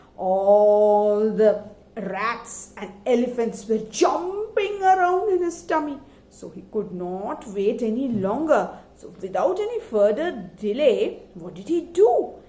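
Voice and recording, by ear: With a dark, mellow tone and big pitch swings, this voice moves at a slow pace with few pauses, and audible room echo surrounds it. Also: woman, fairly high pitch for a woman.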